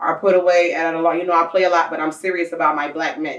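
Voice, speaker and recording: A woman's animated voice, fairly low in pitch, at a very fast pace. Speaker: talk show host. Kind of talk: casual interview chat. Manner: loud.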